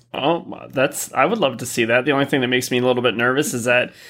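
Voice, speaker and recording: A man speaks at a very fast pace, medium in pitch with a bright, sharp tone. The recording is very clean, with a silent background. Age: 40s. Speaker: gaming podcast host. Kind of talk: casual chat. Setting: live stream.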